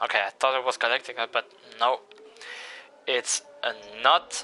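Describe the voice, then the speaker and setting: A man's voice with music in the background. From Italy. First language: Italian. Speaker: sim racing commentator. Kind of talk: live commentary.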